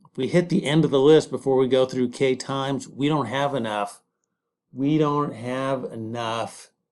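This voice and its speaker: A man's medium-pitched voice moves at a moderate speed, its intonation fairly even. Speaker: coding tutorial host. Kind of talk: tutorial. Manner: halting, many repetitions and fillers; improvised, thinking aloud.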